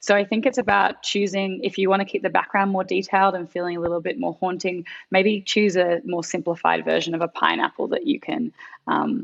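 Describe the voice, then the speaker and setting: A woman with an Australian accent talks at a fairly quick pace, her voice showing vocal fry. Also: medium pitch for a woman, ordinary pitch variation. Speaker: graphic designer. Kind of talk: design critique.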